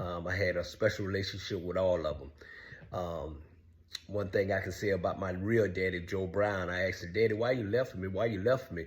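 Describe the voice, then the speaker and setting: Very deep and low-pitched, a man speaks somewhat breathily at a moderate pace. His intonation is fairly even, and room echo is audible. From US South, Savannah, Georgia. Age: 60s. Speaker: online show host telling his life story. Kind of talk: personal monologue. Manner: halting with frequent fillers.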